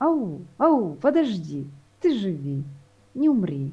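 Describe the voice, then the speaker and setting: Somewhat breathy, a woman's voice has a dark, mellow tone. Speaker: poet. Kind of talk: poetry reading; casual chat. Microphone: unstable internet connection.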